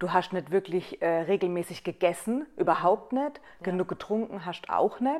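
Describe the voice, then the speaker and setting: At a moderate pace, a woman talks in an ordinary speaking voice at medium pitch. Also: lively intonation. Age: 30s. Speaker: hairdresser and salon owner. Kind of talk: casual chat. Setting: on a couch at her home.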